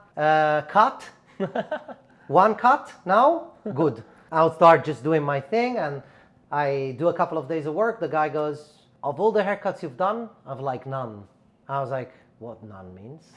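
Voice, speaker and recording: A man with a fairly high voice speaks at a fairly slow pace, leaving long, frequent pauses. His pitch swings very widely and his loudness shifts a lot. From Italy, Milan. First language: Italian. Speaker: barber and educator. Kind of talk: casual chat.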